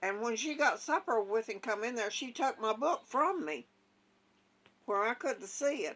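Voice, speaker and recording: A woman speaks with an Appalachian accent at a moderate pace. Her fairly high pitch swings very widely. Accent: Southern US, rural Appalachian. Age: 80s+. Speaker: elderly mother telling family stories. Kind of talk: storytelling.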